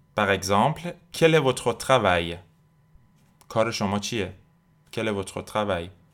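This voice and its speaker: A man's fairly low voice at a moderate pace, with lively intonation, long and frequent pauses, and a very clean recording over a silent background. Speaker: French language teacher podcast host. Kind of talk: tutorial.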